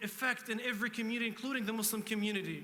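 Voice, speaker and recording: A man's raised, projected voice at an extremely high pitch, bright and sharp in tone, with a non-native accent, monotone, flat intonation and a fairly quick pace. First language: not English. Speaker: state senator. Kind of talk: panel speech.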